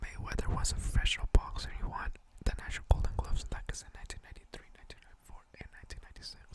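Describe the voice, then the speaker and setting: A man whispers over noticeable background noise. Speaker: ASMR video creator. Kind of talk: ASMR ramble on boxing facts. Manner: soft-spoken, whispered.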